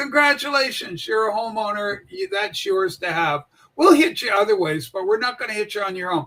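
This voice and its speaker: At a fairly quick pace, a man projects a raised, high-pitched voice with a bright, sharp tone and lively intonation. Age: 60s. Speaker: political livestream host. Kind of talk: casual political commentary livestream.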